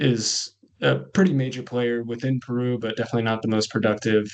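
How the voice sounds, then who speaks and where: A man with a Californian accent speaks with fairly even intonation. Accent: American (Californian). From California, US. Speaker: coffee cooperative manager. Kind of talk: webinar presentation.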